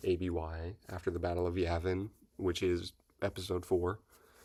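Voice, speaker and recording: A quiet voice with monotone, flat intonation comes through on a very clean recording with a silent background. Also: man. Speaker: book reviewer YouTuber. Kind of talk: casual video review. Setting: at home.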